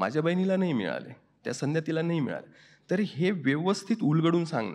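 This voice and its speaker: Against a quiet background, a man talks in a normal speaking voice with a fairly high pitch. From India, Maharashtra (Dhule region). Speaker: writer and professor. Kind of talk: interview answer.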